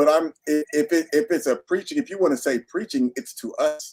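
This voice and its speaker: A man at a moderate pace, dry, close sound with no echo. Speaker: minister. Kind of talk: casual chat. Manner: loud; animated.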